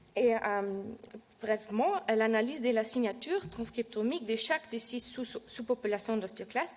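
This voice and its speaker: Speaking with a non-native accent, a woman shows ordinary pitch variation. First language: not French (speaking French). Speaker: PhD researcher presenting her work. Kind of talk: scientific presentation. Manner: halting, many hesitations and self-corrections; reading from notes.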